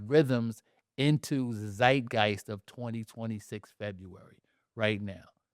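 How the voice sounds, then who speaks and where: A man speaks with a New York accent at a fairly slow pace. His tone is animated, with big swings in loudness. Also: medium pitch for a man, dry, close sound with no echo, very clean recording, silent background. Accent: New York area American. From New Jersey, Jersey City. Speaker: playwright and poet. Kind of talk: casual chat.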